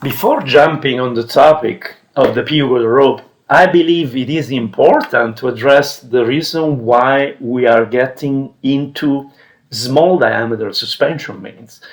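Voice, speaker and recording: This man has an Italian accent and a fairly high pitch with ordinary pitch variation. He talks at a fairly slow pace. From Italy. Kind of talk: instructional, tutorial.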